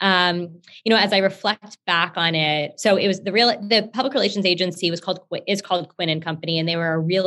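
A woman with an American accent has an unremarkable speaking voice and a fairly low pitch. She talks at a fairly quick pace. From Texas, Houston. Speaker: company founder. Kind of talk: interview.

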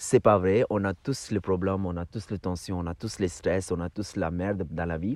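Over a quiet background, a man speaks with fairly even intonation in a dry, close sound with no echo. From India. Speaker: yoga teacher. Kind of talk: casual chat. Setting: outdoors. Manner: halting.

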